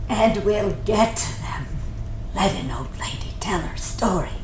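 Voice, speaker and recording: Loud background noise fills the recording. A woman does a put-on character voice at a fairly slow pace. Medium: audio drama. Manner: wry, teasing.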